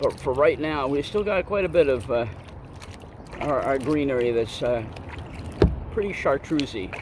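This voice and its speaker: With a relaxed tone and lively intonation, a man speaks at a moderate pace in a fairly high pitch, pausing long and often against noticeable background noise. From Vermont. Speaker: outdoor vlogger. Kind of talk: casual vlog narration. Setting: outdoors in a kayak on a pond. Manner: relaxed, hesitant with fillers.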